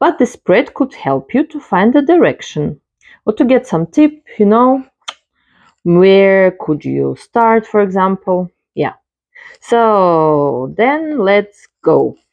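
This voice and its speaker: Speaking at a very slow pace with a non-native accent, a woman lets her pitch swing very widely. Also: medium pitch for a woman. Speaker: tarot reader. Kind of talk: tarot card reading tutorial. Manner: halting, with filler sounds.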